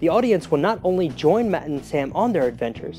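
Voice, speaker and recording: Music plays behind a man speaking at a fairly quick pace. His pitch is high and his tone upbeat. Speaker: children's science show host. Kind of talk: children's show promo host read. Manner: upbeat, friendly.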